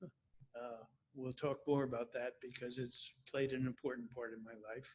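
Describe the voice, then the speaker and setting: With an American accent, a man speaks fairly slowly at medium pitch in a monotone, flat intonation, his loudness swinging widely. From US, Washington DC suburbs, Virginia. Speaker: retirement community resident. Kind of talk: interview.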